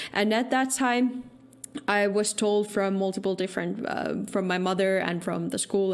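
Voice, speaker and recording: A woman's medium-pitched voice with a Finnish accent, fairly even intonation, a moderate pace and audible room echo. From Finland. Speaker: security researcher and podcaster. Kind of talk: conference talk.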